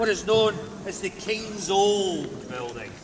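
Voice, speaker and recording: Speaking very slowly in a central Scottish accent, a man with a high-pitched voice is heard over noticeable background noise. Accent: Scottish, Stirling. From Scotland. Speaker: castle tour guide. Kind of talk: guided tour commentary. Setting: outdoors. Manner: dramatic, storytelling.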